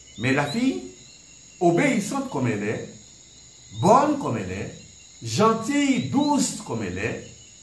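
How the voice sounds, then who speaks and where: Over noticeable background noise, a man with a high pitch talks at a fairly slow pace, leaving long, frequent pauses and swinging very widely in pitch. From Guadeloupe. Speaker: storyteller, head of a cultural association. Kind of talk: folk tale retelling and explanation.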